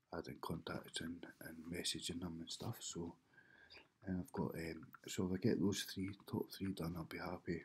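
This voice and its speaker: A man whispering, somewhat breathy, at a moderate pace. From United Kingdom. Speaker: web designer. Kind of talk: casual vlog talk to camera. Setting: home, early morning. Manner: whispered. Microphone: webcam.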